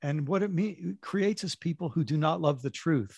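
On a very clean recording with a silent background and a dry, close sound with no echo, a man speaks somewhat breathily with lively intonation. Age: 60s. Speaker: author and former pastor. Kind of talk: interview conversation.

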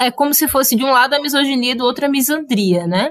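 A woman at a moderate pace. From Cariri, Ceará, Brazil. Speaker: podcast guest, film fan. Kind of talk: casual chat.

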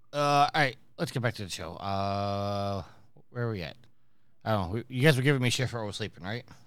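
In a very clean recording with a silent background, a man talks at a fairly quick pace and medium pitch in an ordinary speaking voice with ordinary pitch variation. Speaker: podcast host. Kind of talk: casual chat.

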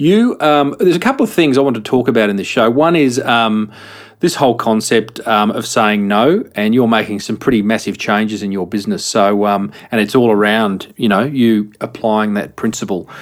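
Hardly pausing, a man with an Australian accent speaks at a moderate pace, medium in pitch with ordinary pitch variation. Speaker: podcast host. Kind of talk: casual chat.

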